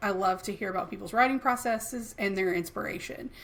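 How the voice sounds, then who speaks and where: With an American accent, a woman of medium pitch talks at a fairly quick pace with fairly even intonation. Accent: Southern US, thicker late at night. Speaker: podcast co-host. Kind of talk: casual chat.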